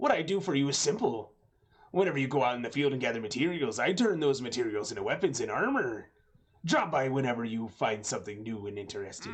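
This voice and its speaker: A man's put-on character voice, fairly high in pitch and fairly quick in pace. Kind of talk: game NPC character voice. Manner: gruff, hearty, welcoming.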